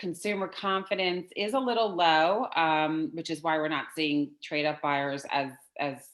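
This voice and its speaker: Fairly low in pitch with lively intonation, a woman uses an ordinary speaking voice at a fairly slow pace. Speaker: real estate market presenter. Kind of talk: office meeting presentation.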